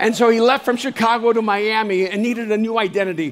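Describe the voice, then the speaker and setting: A man talks at a very fast pace in a high-pitched voice, his intonation fairly even. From El Salvador. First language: Spanish. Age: 60s. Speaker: speaker and author. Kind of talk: motivational keynote talk. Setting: live stage.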